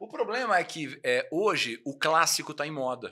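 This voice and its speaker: Against a quiet background, a man talks with vocal fry and a bright, sharp tone. His pitch swings very widely. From Brazil. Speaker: motorcycle TV show host. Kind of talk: casual interview. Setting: home studio. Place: studio. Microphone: studio mic.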